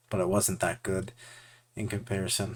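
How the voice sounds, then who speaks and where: Fairly quick pace and a somewhat breathy quality in a man's voice. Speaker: VFX artist and art video creator. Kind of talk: casual commentary over art process. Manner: halting, with filler words. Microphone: new audio setup using OBS filters.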